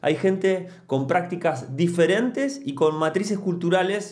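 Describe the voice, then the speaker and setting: A man with a high voice speaks at a fairly slow pace against a quiet background. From Argentina, Mar del Plata; Argentina. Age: 40s. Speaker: musician and anthropologist, YouTuber; youtuber, podcaster. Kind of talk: casual monologue to camera. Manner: hesitant, many fillers. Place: home room. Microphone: studio mic.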